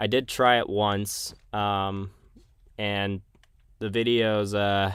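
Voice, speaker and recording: Very slowly and in a flat monotone, a man talks at a fairly low pitch, the recording very clean with a silent background. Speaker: gaming streamer. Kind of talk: casual live stream commentary. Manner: halting.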